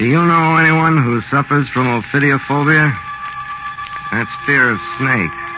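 A man speaks at a fairly slow pace with long, frequent pauses and noticeable background noise. His pitch is fairly high, with ordinary variation. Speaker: radio host. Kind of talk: old-time radio horror host intro, scripted. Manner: macabre, theatrical, dramatic, ominous.

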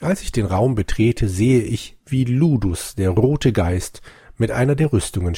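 Lively intonation in an unforced reading voice

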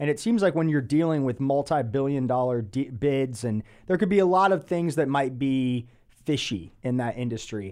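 A man with a plain, everyday voice and an American accent speaks at a medium pitch and a moderate pace, his intonation lively. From Atlanta, US South. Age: 30s. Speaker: podcast host. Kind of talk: casual interview.

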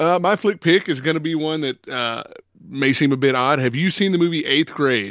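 The recording is very clean with a silent background. A man with an ordinary speaking voice talks at a moderate pace, fairly high in pitch, with ordinary pitch variation. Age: 40s. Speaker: film podcast host. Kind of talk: casual chat.

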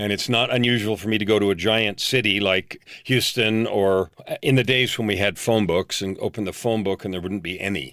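A man speaks in a plain, everyday voice, fairly low in pitch. He talks at a fairly quick pace with fairly even intonation and hardly any pauses. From US, San Francisco Bay Area. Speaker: leadership coach. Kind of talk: interview.

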